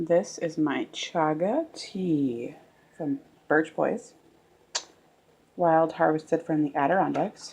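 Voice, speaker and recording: A soft-spoken woman talks at a very slow pace with a very deep, low pitch and ordinary pitch variation. She leaves long, frequent pauses. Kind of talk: casual talk to camera, cooking demo.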